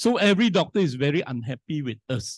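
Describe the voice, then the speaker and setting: At a moderate pace, a man with an ordinary speaking voice and fairly high pitch talks with lively intonation against a quiet background. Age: 60s. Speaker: scientist and business speaker. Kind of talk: motivational talk.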